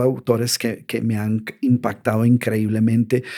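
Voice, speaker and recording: At a fairly slow pace, a man speaks at a medium pitch with a dark, mellow tone. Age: 60s. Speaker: author and motivational speaker. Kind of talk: podcast interview. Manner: hesitant with repetitions.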